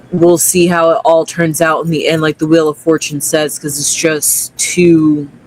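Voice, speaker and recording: Delivered at a moderate pace with hardly any pauses, the voice runs in a flat monotone over noticeable background noise. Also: man, fairly high pitch for a man. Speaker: tarot reader. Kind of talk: casual chat.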